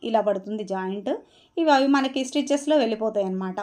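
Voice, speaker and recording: A woman speaks with lively intonation in a fairly high pitch, over a quiet background. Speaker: tailoring teacher. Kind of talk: tutorial. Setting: voice-over. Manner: halting.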